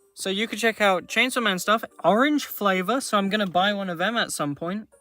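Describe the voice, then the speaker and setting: Someone with a British accent speaks at a fairly quick pace with music in the background. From Britain. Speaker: gaming streamer. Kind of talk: live gaming stream commentary. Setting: live stream.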